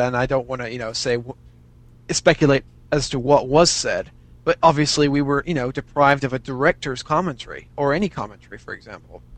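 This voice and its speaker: A man's fairly high voice with an American accent, fairly quick and fairly even in intonation, with big swings in loudness. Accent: slight English-tinged American. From US. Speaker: fan and aspiring writer. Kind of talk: casual interview chat. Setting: video/voice call over Skype.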